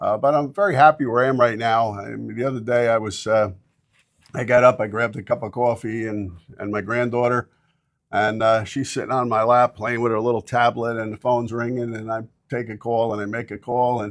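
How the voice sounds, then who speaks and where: Here a man speaks in a flat, monotone voice. His pitch is medium and his pace fairly quick. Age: 60s. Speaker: real estate broker. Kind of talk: interview. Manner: halting, many fillers.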